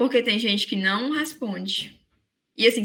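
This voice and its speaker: A woman's voice sits fairly high and sounds bright and sharp. She keeps a moderate pace. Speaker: teacher. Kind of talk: lecture.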